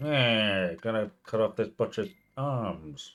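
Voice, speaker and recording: In a put-on character voice, a man speaks at medium pitch and a fairly slow pace with lively intonation. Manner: menacing.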